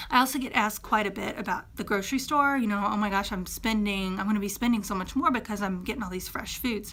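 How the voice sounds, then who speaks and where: Woman at medium pitch with a bright, sharp tone, ordinary pitch variation, a very fast pace and hardly any pauses. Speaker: fitness coach. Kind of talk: tutorial.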